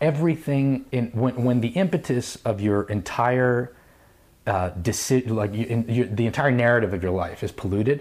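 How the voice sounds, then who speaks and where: An unremarkable speaking voice from a man, pitched medium, ordinary in its pitch variation. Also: moderate pace. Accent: American. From New York. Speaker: company founder. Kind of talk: casual chat.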